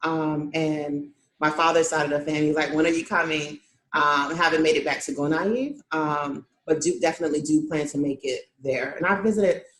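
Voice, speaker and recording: Moderate pace and ordinary pitch variation. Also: woman. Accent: American. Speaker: nonprofit founder. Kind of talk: interview.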